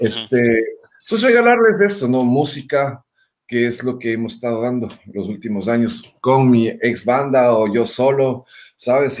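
A man speaks at a moderate pace in a medium pitch. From Ecuador, Quito. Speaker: singer and guitarist. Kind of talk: casual interview.

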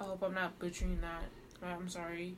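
Background noise is noticeable throughout. Through it, a woman talks. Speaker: podcast co-host. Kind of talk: casual chat. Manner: animated, enthusiastic.

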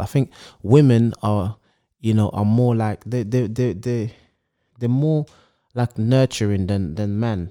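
A man with a London accent speaks in a fairly low voice with a dark, mellow tone and ordinary pitch variation. The recording is very clean and dry, close with no echo, over a silent background. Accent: London multicultural English. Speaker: podcast co-host. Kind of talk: casual banter chat. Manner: animated, bantering.

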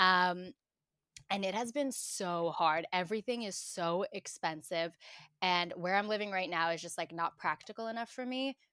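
The recording is very clean with a silent background and a dry, close sound with no echo, carrying a bright, sharp tone with ordinary pitch variation. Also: woman, medium pitch for a woman, moderate pace. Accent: New York. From Brooklyn, New York (Bensonhurst). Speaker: digital marketer. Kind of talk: casual chat.

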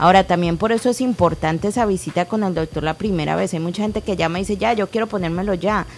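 A woman speaks at a very fast pace with a medium pitch, ordinary pitch variation and hardly any pauses. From Colombia (Cali). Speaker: co-host, clinic staff. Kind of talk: radio call-in show.

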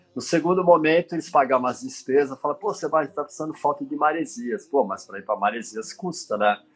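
This man talks at a very fast pace with hardly any pauses. His fairly high voice makes very wide pitch swings. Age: 60s. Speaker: surf photographer. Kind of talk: interview.

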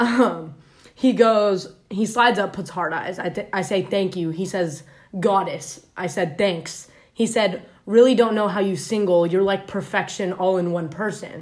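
Speaking at a fairly slow pace, a woman uses an ordinary speaking voice with medium pitch and ordinary pitch variation. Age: 20s. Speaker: podcast guest sharing dating stories. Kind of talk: reading aloud. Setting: in a room, far from recording device. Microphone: far from the mic, uneven volume.

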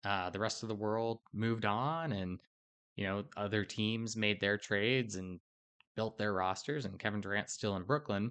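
A man speaks at a fairly slow pace with a fairly low pitch. He has an ordinary speaking voice. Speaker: podcast host. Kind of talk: casual sports podcast chat.

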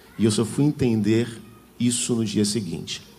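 Room echo can be heard around a man's voice. He speaks at a fairly slow pace with ordinary pitch variation. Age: 40s. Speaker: preacher. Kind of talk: sermon.

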